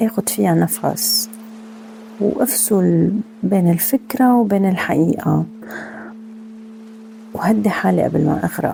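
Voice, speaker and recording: Over music in the background, a woman talks at a very slow pace with long, frequent pauses and very even loudness. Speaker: meditation podcast host; former teacher. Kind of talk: personal podcast talk.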